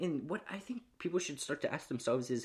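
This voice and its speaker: Very wide pitch swings and vocal fry in a man's speech. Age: 20s. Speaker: podcaster. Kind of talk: motivational monologue.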